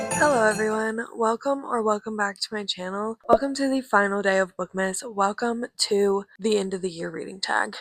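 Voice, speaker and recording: A woman with a fairly high pitch talks at a moderate pace with fairly even intonation. Music plays in the background, and the sound is dry and close with no echo. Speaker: book youtuber. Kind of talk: casual vlog talk. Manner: heavy breathing.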